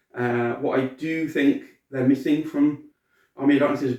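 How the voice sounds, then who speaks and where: Talking fairly quickly, this man has a British accent. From Britain. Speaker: cosplayer and collectibles reviewer. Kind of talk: product review. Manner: casual, hesitant with fillers.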